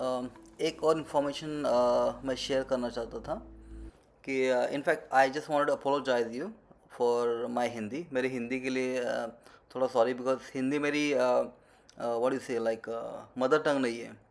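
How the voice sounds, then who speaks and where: The speaker talks with a Marathi accent and fairly even intonation. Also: man, medium pitch for a man, moderate pace. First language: Marathi (speaking Hindi). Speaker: travel vlogger. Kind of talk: travel vlog narration. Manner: halting, many fillers; Hindi-English code-switching.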